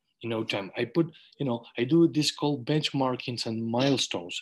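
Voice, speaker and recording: Against a quiet background, a man with a Spanish accent talks at a fairly quick pace, his medium pitch showing ordinary variation. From Uruguay. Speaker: webinar host, eye surgeon; webinar host. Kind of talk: online panel webinar. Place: home room. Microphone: video call.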